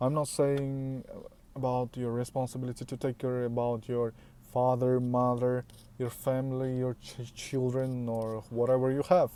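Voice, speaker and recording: At a moderate pace, this voice has a dark, mellow tone and a flat, monotone delivery. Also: man. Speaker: self-improvement vlogger. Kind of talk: motivational talk to camera. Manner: halting, with many fillers and restarts.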